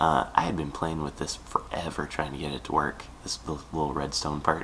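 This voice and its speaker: The speaker's voice is a whisper at a moderate speed. There is noticeable noise in the background. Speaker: Minecraft tutorial maker. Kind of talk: casual gaming tutorial narration.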